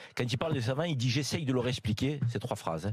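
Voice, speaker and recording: A somewhat breathy man with a Marseille accent and medium pitch. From Marseille, southern France. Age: 50s. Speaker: radio panelist. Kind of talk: talk radio panel discussion. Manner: halting, many hesitations.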